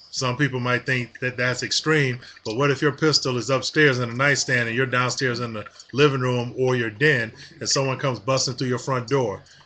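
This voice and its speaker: A man in an American accent talks fairly quickly, with noticeable noise behind him. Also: medium pitch for a man. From Detroit, Michigan, US. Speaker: gun owner vlogger. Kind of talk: casual vlog rant. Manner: animated, repetitive fillers.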